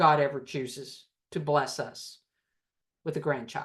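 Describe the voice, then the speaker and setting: This is a woman speaking with a Southern US accent. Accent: US South. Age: 60s. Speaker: recovery group leader. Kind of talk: talk to a recovery group.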